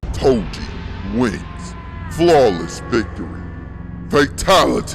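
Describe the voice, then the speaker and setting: Over clear background music, a man speaks very slowly in a put-on character voice. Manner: dramatic, declaring victory.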